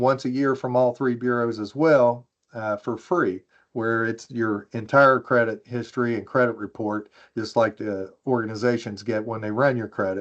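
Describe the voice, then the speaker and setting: Against a quiet background, a man with an American accent speaks in an ordinary speaking voice at medium pitch, with fairly even intonation and a moderate pace. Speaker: privacy expert panelist. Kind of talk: webinar presentation.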